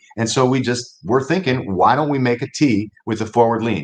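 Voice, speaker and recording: The speaker has a normal speaking voice with an American accent. Words come at a moderate pace. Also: man. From Ohio. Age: 60s. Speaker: inventor and kicker. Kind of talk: interview.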